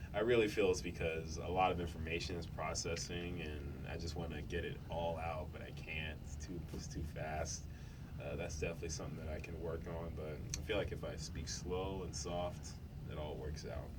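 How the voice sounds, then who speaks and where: Very deep, low-pitched male speech at a moderate pace with fairly even intonation, audible room echo and noticeable background noise. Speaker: youth radio host. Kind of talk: casual chat.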